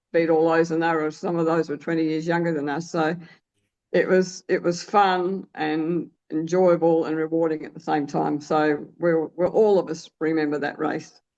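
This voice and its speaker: This woman talks at a moderate pace in an Australian accent. Her pitch sits fairly low, and her intonation stays flat and monotone. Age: 70s. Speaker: masters sprinter. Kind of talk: interview. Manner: halting.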